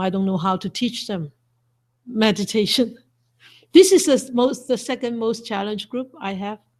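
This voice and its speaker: The recording is very clean, with a silent background. A woman with a somewhat breathy, fairly high pitch talks at a moderate pace with ordinary pitch variation. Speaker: Buddhist monastic teacher. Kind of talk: dharma talk.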